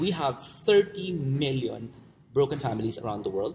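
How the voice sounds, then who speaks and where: Medium-pitched, somewhat breathy male speech at a moderate pace, with lively intonation. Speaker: online marketing coach. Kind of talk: webinar presentation. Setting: online webinar. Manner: halting.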